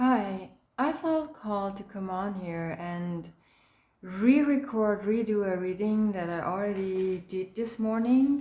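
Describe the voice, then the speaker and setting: Very slowly, a woman speaks at a medium pitch, her tone dark and mellow and her intonation lively. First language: not English. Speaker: tarot card reader. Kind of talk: tarot reading.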